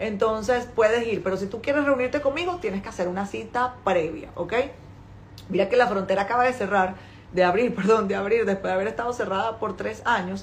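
Speaking fairly quickly with a Venezuelan accent, the voice shows ordinary pitch variation. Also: woman, medium pitch for a woman. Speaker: importing business owner and author. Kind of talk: live stream talk to followers.

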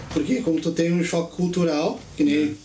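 A man with a high voice speaks at a very fast pace. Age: 40s. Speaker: podcast guest. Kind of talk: casual chat.

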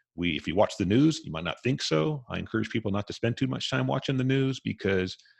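A man speaks at a moderate pace, his voice somewhat breathy. His pitch swings very widely. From US West (Southern California, Las Vegas, Hawaii). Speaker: author and podcast host. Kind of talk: interview, personal story.

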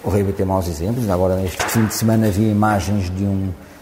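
A man talks at a fairly quick pace with fairly even intonation. Noticeable background noise sits behind him. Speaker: rugby coach. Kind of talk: interview.

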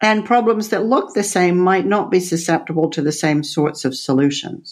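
In a plain, everyday voice, a woman with an American accent speaks at a fairly low pitch with lively intonation over a quiet background. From Texas, then Netherlands and UK. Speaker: author and former CEO. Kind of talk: interview.

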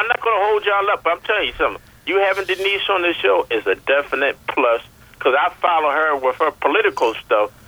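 Talking at a very fast pace in an American accent, a man keeps his loudness very even despite noticeable background noise. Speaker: radio caller. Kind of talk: call-in chat. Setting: phone call.

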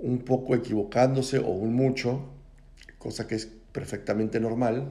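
A man's dark, mellow voice at medium pitch, monotone and flat, at a moderate pace. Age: 40s. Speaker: podcast host. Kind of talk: reflective monologue. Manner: casual, conversational.

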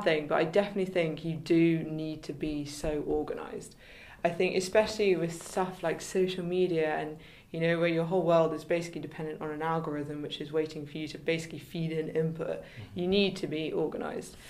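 Talking at a fairly quick pace with a southern English accent, a woman with a fairly low pitch shows big swings in loudness amid audible room echo. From England, Kent. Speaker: photographer and business founder. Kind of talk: interview.

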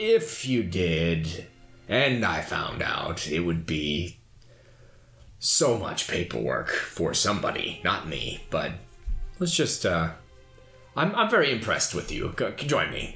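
A man performs a put-on character voice at a medium pitch. He goes at a fairly slow pace with long, frequent pauses. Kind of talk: comic overacting. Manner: pompous, smooth, long-winded.

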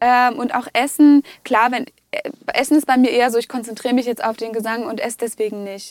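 A woman speaks at a high pitch and a fairly quick pace. Her intonation stays fairly even. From Russia (Moscow), German parents. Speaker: singer and speech therapy trainee. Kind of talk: casual interview.

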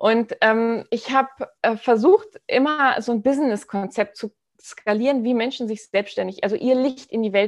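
With ordinary pitch variation and a fairly high pitch, a woman speaks in a normal speaking voice. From Hamburg, northern Germany. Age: 30s. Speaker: entrepreneur and new mother. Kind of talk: interview, personal birth story.

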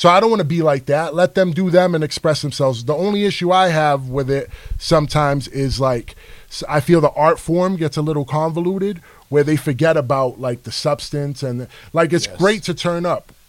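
A man with an American accent has a plain, everyday voice and a fairly high pitch. He speaks at a fairly quick pace with ordinary pitch variation. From New York City, the Bronx. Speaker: rapper. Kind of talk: casual chat.

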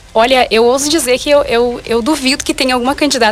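Over noticeable background noise, a woman with a high-pitched voice talks very fast with fairly even intonation. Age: 20s. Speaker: pageant candidate and journalist. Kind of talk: radio interview. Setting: radio studio.

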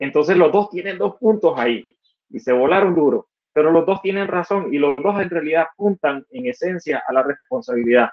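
A man with a Nicaraguan accent talks at a moderate pace, his high pitch carrying lively intonation. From Nicaragua, Estelí (north). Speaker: computer engineer and entrepreneur. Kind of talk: interview conversation. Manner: halting, frequent repetitions.

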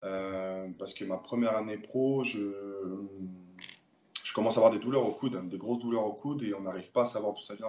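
A man speaks at a fairly quick pace, his volume rising and falling sharply. His intonation stays fairly even. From Paris suburbs, France (Seine-Saint-Denis). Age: 20s. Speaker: professional handball player. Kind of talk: interview. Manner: halting, frequent repetitions.

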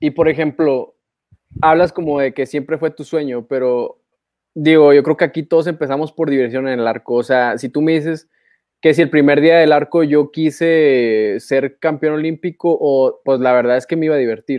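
A man with a Mexican accent speaks at a fairly high pitch with fairly even intonation. The background is quiet. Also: moderate pace, dry, close sound with no echo. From Mexico. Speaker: archery podcast co-host. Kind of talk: casual chat.

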